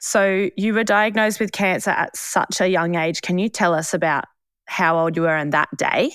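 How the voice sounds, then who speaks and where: This woman has a medium pitch and ordinary pitch variation, speaking at a moderate pace. Her loudness stays very even, and the recording is very clean with a silent background. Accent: Australian. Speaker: podcast host. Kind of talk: casual chat.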